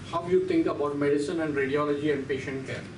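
Someone with an Indian accent speaks amid audible room echo and light background noise. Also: man. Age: 60s. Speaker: radiology professor. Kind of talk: lecture. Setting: lecture hall. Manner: animated. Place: classroom.

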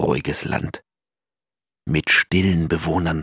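A man speaks with a very deep, low pitch. The sound is dry and close with no echo. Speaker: audiobook narrator. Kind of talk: children's picture book reading.

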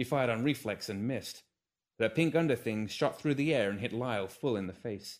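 Lively intonation in an unforced reading voice, the background quiet.

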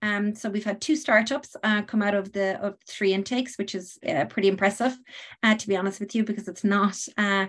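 Her medium pitch and fairly bright tone carry a woman's speech at a fairly quick pace with fairly even intonation.

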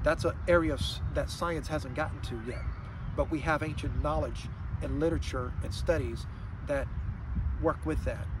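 Speaking at a moderate pace with long, frequent pauses, a man comes through in a dry sound with no echo, with noticeable background noise behind him. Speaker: health vlogger. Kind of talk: explanatory monologue. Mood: calm, earnest. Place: waterside. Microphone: phone near.

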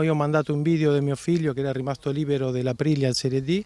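In a Spanish accent, a man speaks at a fairly high pitch, the sound dry with no echo. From Argentina. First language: Spanish (speaking Italian). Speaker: football coach. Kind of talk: interview. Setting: outdoors.

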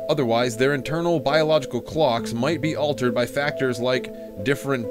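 Lively intonation from a man at a moderate pace, with music in the background. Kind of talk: nonfiction reading aloud. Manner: some stuttering.

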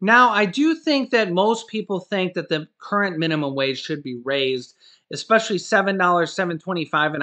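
A man speaks in a bright, sharp tone with lively intonation. The background is quiet. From US Midwest (Ohio). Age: 30s. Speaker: YouTuber. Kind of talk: video monologue. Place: home room. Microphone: webcam.

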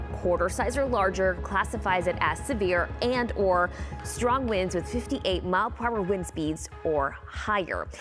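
Over clear music in the background, a woman speaks at a fairly slow pace with very even loudness. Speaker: broadcast meteorologist. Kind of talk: TV weather broadcast. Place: studio.

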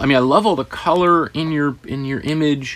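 The tone here is animated. It comes from a man. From Canada. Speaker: art teacher. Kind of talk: tutorial. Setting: studio. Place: home room.

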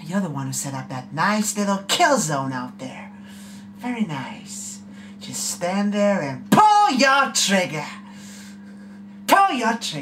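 A man speaks in a put-on character voice at a fairly slow pace, with long, frequent pauses, big swings in loudness, and clear background noise. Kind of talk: audition practice takes. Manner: menacing.

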